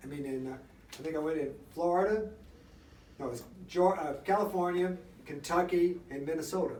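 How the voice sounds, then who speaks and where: Against noticeable background noise and audible room echo, a man with a fairly high voice talks at a fairly quick pace with fairly even intonation and long, frequent pauses. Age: 70s. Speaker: senior athlete. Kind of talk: radio interview. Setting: radio studio.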